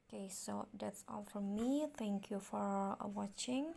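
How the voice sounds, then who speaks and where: Very slowly, a woman speaks in a somewhat breathy voice with a dark, mellow tone and an Indonesian accent. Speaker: tutorial youtuber. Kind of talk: tutorial. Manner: halting, many fillers.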